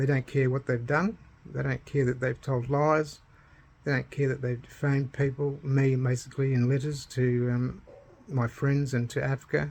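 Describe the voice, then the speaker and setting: This man, with an Australian accent and a medium pitch, talks at a moderate pace in a somewhat breathy voice with monotone, flat intonation. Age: 60s. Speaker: retired banker telling his own story. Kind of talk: personal testimony vlog. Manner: halting, many fillers.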